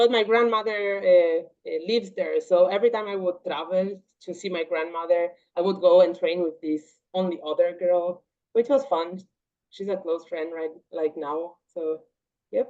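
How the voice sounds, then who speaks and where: A woman with a Portuguese accent speaks at a medium pitch with ordinary pitch variation. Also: moderate pace. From Paraguay, Triple Border area. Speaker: martial arts athlete and engineer. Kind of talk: interview.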